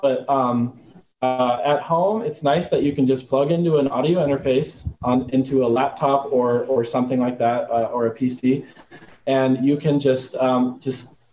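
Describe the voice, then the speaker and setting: A man has an ordinary speaking voice. His pitch is medium, with ordinary pitch variation. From Arizona, US. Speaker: composer and sound designer. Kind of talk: casual interview.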